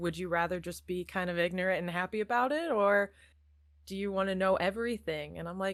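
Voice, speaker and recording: A woman with an American accent, fairly low in pitch, with fairly even intonation at a fairly quick pace, on a very clean recording with a silent background. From Iowa, US Midwest. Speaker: actor. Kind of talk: casual chat.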